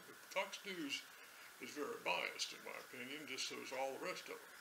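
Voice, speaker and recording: Someone speaks at a moderate pace with an American accent over noticeable background noise. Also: man. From United States. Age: 70s. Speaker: political commentator. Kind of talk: casual ad-lib commentary to camera. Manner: hesitant, unscripted. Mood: wry, joking. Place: home room.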